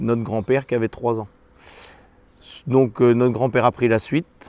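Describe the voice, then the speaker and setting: With fairly even intonation, a man speaks at medium pitch. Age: 40s. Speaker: dairy farmer. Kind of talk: interview testimony. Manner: hesitant, many fillers.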